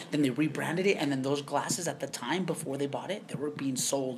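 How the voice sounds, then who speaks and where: Someone speaks at a moderate pace with ordinary pitch variation over noticeable background noise. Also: man. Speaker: podcast co-host. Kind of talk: casual chat. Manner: loud.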